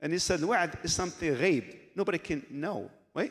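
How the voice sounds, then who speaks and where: A man's voice is heard. Its pitch shifts in an ordinary way. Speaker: Islamic teacher. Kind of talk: lecture. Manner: fast.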